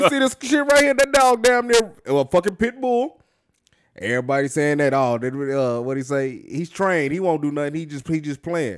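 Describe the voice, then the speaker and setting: Very wide pitch swings in a fairly high male voice, at a moderate pace. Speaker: podcast co-host. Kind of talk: casual chat.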